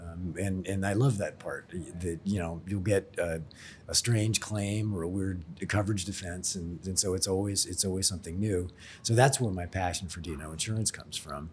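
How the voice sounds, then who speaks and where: In an American accent, a man speaks at a moderate pace with a very deep, low pitch, a somewhat breathy quality and fairly even intonation. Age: 60s. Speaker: insurance expert and blogger. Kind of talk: podcast interview. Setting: in person in Sydney.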